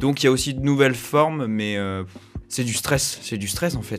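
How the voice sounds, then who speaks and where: Music runs behind the voice. It belongs to a man whose pitch varies in an ordinary way. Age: 20s. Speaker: journalism student. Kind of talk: casual chat. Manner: hesitant, many fillers.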